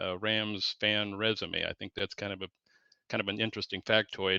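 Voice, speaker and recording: Over a quiet background, a man with an American accent speaks at a moderate pace and a fairly low pitch, his bright, sharp tone delivered in a flat monotone. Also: dry, close sound with no echo. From Southeast Washington, US. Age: 60s. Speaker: sports fan guest. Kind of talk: casual interview. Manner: halting, many fillers.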